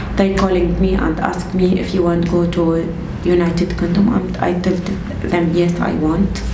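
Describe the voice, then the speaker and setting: Against noticeable background noise, a woman speaks at a moderate pace. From Syria. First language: Arabic. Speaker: refugee. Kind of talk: interview. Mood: reflective, slightly emotional. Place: home room.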